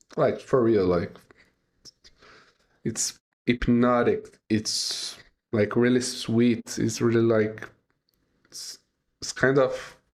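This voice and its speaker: The speech is monotone and flat, in a non-native accent. It moves at a very slow pace with long, frequent pauses. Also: man. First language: not English. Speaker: music reaction youtuber. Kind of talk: reaction video commentary. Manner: halting, many fillers.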